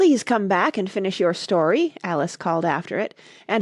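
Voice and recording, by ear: The passage is read aloud in a natural voice.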